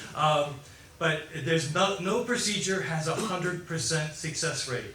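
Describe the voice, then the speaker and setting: A man with an American accent, fairly slow pace and ordinary pitch variation, with noticeable background noise and audible room echo. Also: fairly high pitch for a man. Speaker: foot surgeon and implant inventor. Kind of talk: medical lecture. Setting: conference presentation in Chile. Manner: animated.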